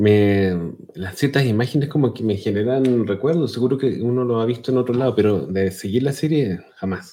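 With a Chilean accent, a man speaks in a dark, mellow tone. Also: medium pitch for a man, ordinary pitch variation, moderate pace. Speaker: podcast co-host. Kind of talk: casual chat.

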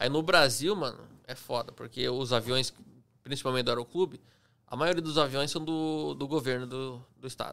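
A man with a medium pitch and a bright, sharp tone talks at a moderate pace, showing ordinary pitch variation and big swings in loudness. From Curitiba, Paraná, southern Brazil. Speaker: airplane pilot. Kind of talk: casual chat.

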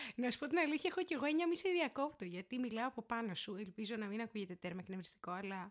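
Speaking very fast, a woman with a fairly high pitch makes very wide pitch swings. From Greece, Syros. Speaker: law student. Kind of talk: casual chat. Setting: home recording.

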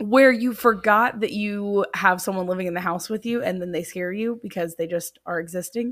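With a normal speaking voice, a woman talks at a medium pitch and a moderate pace, with ordinary pitch variation and hardly any pauses. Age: 20s. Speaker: podcast co-host. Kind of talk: casual chat. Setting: home recording.

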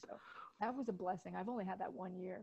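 Somewhat breathy, this voice shows ordinary pitch variation. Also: woman. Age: 30s. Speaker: photographer and high school Italian teacher. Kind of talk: casual chat. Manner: animated.

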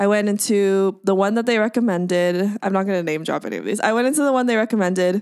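In an American accent, a woman talks very fast at medium pitch. Her tone is animated, with ordinary pitch variation. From Southern California, Orange County. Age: 20s. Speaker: singer-songwriter and filmmaker. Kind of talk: casual interview chat. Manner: animated, laughs often.

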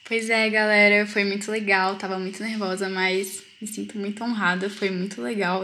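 Audible room echo surrounds a woman whose medium-pitched voice has a bright, sharp tone and monotone, flat intonation. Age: young. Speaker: student, study group member. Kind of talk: casual Bible study discussion. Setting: video call.

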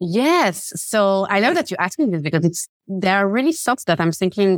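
The voice moves at a fairly quick pace with lively intonation, heard in a dry, close sound with no echo. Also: woman. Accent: Swiss. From Switzerland. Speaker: confidence coach. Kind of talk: interview. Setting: remote call. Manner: animated, laughs often.

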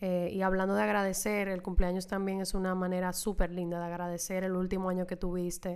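A woman speaks in a monotone, flat intonation with hardly any pauses. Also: medium pitch for a woman, fairly quick pace. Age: 20s. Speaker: podcast host. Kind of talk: solo monologue.

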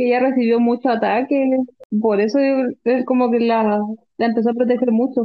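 Moderate pace, very even loudness, and a monotone, flat intonation. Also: woman, high pitch for a woman. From Chile, Concepción. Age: 20s. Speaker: educational psychologist and fan club member. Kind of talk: casual chat.

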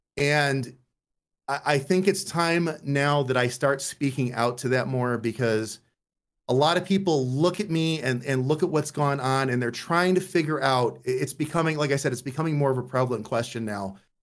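A man's normal speaking voice at a fairly high pitch, moderate in pace, with ordinary pitch variation. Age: 40s. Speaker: streamer. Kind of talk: casual chat. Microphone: mic cutting out at times.

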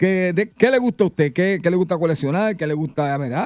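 A man speaks with high pitch. His intonation is lively. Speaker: radio host. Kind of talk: casual chat. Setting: studio.

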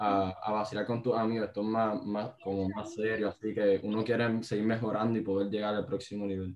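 Fairly low-pitched and monotone, a man speaks at a fairly quick pace. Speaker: podcast host. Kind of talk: casual interview.

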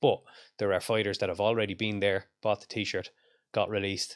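A man with an Irish accent speaks at a fairly quick pace in a fairly low pitch. The recording is very clean, with a silent background. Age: 40s. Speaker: strength coach and combat sports commentator. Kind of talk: casual interview chat.

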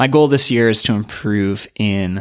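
Pitch moves in the usual way in what is an ordinary speaking voice. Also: man, very clean recording, silent background. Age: 30s. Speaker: running coach and podcast host. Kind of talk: solo podcast monologue.

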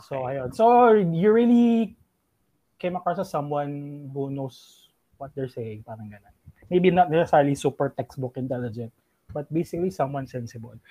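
A man with a dark, mellow tone speaks at a fairly high pitch and a moderate pace. His pitch swings very widely and his loudness swings a lot, in a dry, close sound with no echo. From Philippines. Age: 30s. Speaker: IT consultant and financial advisor. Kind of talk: casual chat.

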